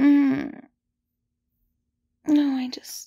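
The voice is soft-spoken. The background is quiet. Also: dry sound with no echo. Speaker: roleplay voice actor. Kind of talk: intimate audio roleplay, soft talk to listener. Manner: drowsy, just-woken murmur.

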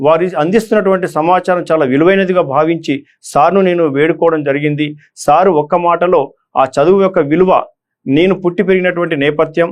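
The man's voice is high in pitch, with fairly even intonation and very even loudness. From Telangana, Nizamabad district (Armoor). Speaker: retired police officer turned election candidate. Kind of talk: motivational address to exam candidates. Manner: halting.

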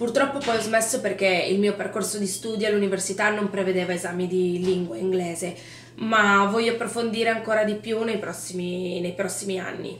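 Noticeable background noise sits behind a woman speaking at a fairly quick pace. Her pitch is medium and her intonation fairly even. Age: 20s. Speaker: event and location manager. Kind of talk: interview.

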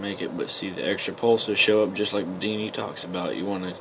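A man's voice amid noticeable background noise. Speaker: electronics hobbyist. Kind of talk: casual electronics demo to camera. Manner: mumbling.

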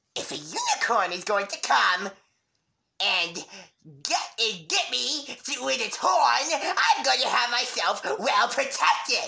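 The voice is a cartoonish character voice with a fairly high pitch. It moves at a fairly slow pace. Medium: puppet. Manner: frantic, excitable.

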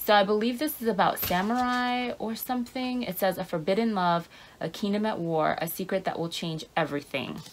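A woman at a moderate pace with lively intonation. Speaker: book vlogger. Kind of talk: casual vlog chat. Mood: enthusiastic, playful. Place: home room. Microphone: phone near.

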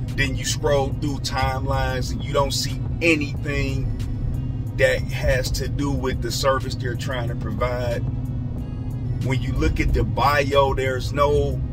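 Clear music plays behind a man who talks at a fairly slow pace. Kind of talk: casual vlog chat. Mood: mildly annoyed, advising. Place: car. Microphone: phone near.

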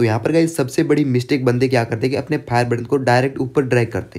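A very fast man's voice, medium in pitch, dark and mellow in tone, with ordinary pitch variation. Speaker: gaming YouTuber. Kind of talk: gameplay tutorial. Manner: casual, chatty.

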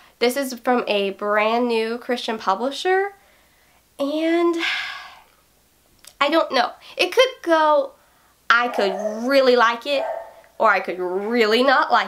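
A woman's high-pitched, upbeat voice with lively intonation, at a very slow pace with long, frequent pauses, over noticeable background noise. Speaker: book reviewer. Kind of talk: casual talk to camera. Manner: upbeat, chatty. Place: home room.

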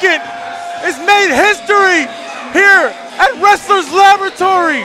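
Over music in the background, a man speaks in a raised, projected voice with an excited tone, an extremely high pitch and ordinary pitch variation, the sound dry with no echo. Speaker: wrestling commentator. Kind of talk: live wrestling play-by-play commentary. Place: hall.

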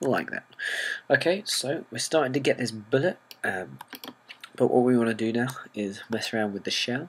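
Noticeable background noise runs under a man with a British accent. He uses ordinary pitch variation and takes long, frequent pauses. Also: medium pitch for a man, moderate pace. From Britain. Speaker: software tutorial maker. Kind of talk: tutorial.

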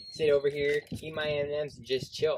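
The man talks fairly quickly while loud noise fills the background. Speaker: vlogger. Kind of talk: sarcastic comedic vlog monologue. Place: street. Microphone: camera far.

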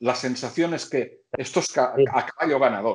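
There is a quiet background behind a man's speech. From Catalonia. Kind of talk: casual chat. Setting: video call. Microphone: video call.

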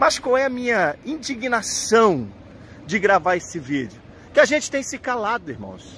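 A man's bright, sharp voice, very wide pitch swings, a fairly slow pace, light background noise and a dry sound with no echo. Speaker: pastor. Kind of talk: protest vlog address to believers. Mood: indignant, emphatic. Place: street. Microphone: phone near.

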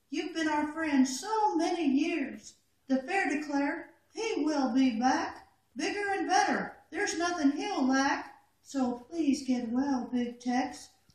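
A cartoonish character voice at a high pitch, with slight echo. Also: fairly slow pace. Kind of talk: poetry reading. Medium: puppet.

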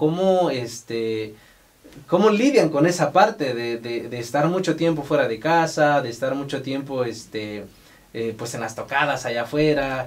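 A man's fairly high-pitched voice, a normal speaking voice, at a fairly slow pace with ordinary pitch variation. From Mexico, Oaxaca. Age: 30s. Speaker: podcast host. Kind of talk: casual interview. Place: studio.

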